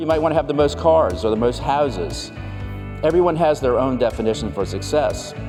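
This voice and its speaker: Fairly quick speech over background music. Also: man. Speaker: professional keynote speaker. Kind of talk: keynote speech highlights reel on values and relationships.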